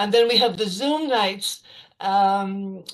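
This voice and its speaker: Against a quiet background, a woman speaks at medium pitch with fairly even intonation. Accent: Irish. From west of Ireland. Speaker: storyteller. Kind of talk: casual talk to an online audience. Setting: video call. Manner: hesitant, many fillers.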